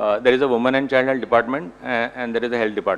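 The pace is very fast. It is a man who talks. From India, rural Gujarat. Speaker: paediatrician; panelist. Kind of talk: panel discussion. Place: meeting room. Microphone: podium.

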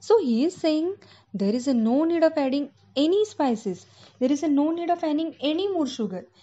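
A woman speaks with an Indian accent and a high pitch. Her voice swings very widely in pitch. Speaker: school English teacher. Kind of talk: online lecture to children. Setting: recorded online lesson. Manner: slow, explanatory.

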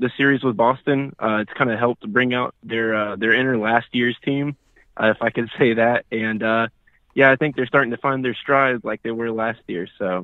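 A man speaks at a moderate pace with fairly even intonation, in a dry sound with no echo against a quiet background. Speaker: radio caller. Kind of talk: casual call-in sports talk. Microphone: phone line.

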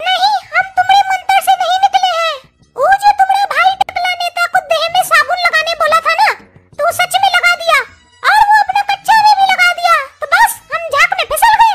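This cartoonish character voice has an extremely high pitch and moves at a fairly quick pace.

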